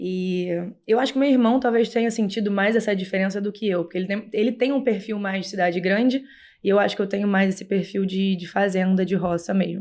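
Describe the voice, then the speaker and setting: The speaker has a strong Rio de Janeiro accent and a fairly even intonation at a fairly quick pace. The recording is very clean, with a silent background. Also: woman, medium pitch for a woman. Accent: Rio de Janeiro (carioca) accent, still strong. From Brazil, Rio de Janeiro. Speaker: horse rider and breeder. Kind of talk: podcast interview.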